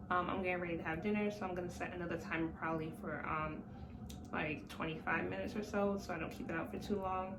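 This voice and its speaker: A woman talks at a very fast pace with a fairly low pitch and fairly even intonation. Audible room echo and noticeable background noise come through. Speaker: vlogger. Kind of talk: casual vlog. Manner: hesitant, many fillers.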